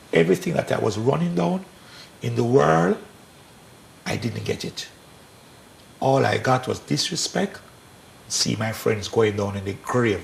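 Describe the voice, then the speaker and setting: Pausing often and at length, a man talks fairly slowly amid noticeable background noise. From Jamaica. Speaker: pastor and former gang leader. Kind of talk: testimony; sermon.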